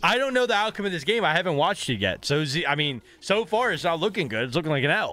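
A man speaks very fast in a high voice, with hardly any pauses and very wide pitch swings. His tone is animated, and the sound is dry with no echo. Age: 30s. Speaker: gaming streamer and coach. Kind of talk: gameplay commentary. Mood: playful, joking. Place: home room.

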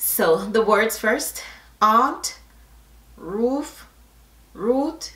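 A woman's very slow speech with a bright, sharp tone, ordinary pitch variation and audible room echo. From Jamaica. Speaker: YouTuber doing an accent tag video. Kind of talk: casual, slips into Jamaican Patois. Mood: playful, upbeat.

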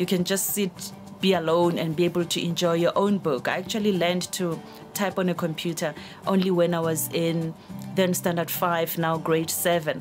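A woman's fairly low voice at a moderate pace, flat and monotone, over clear background music. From South Africa. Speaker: journalist and radio news reader. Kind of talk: interview answer about reading. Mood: warm, reflective. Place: studio.

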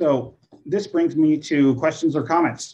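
A man speaks at a fairly slow pace, his voice fairly high in pitch with a dark, mellow tone. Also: ordinary pitch variation.

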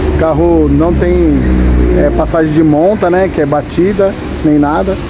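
A man is speaking. Noticeable background noise runs throughout. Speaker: vlogger car buyer. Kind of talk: casual vlog chat. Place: workshop. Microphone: phone near.

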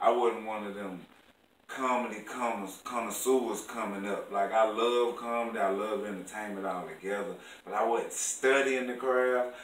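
Over light background noise with audible room echo, a man speaks with fairly even intonation. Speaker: stand-up comedian; interview guest. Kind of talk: casual, slang-heavy. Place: home room. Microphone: camera far.

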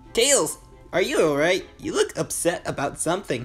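A put-on character voice at a middle pitch speaks at a moderate pace over clear background music. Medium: dub. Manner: reassuring, then stammering.

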